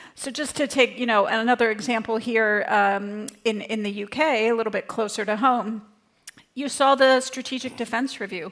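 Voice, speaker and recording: A woman with a North American accent, fairly high-pitched, an ordinary speaking voice, moderate pace and fairly even intonation. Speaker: think tank director, panelist. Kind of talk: conference panel talk.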